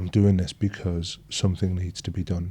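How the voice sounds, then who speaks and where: A man with an English accent speaks in a very deep, low, dark and mellow voice, somewhat breathy, with fairly even intonation. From northeast England. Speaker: emergency doctor. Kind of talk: interview conversation.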